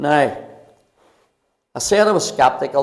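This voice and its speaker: Speaking at a moderate pace, a man with a Belfast accent has a fairly high pitch and ordinary pitch variation. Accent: Belfast Northern Irish. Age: 70s. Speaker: pastor. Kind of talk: testimony. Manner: halting.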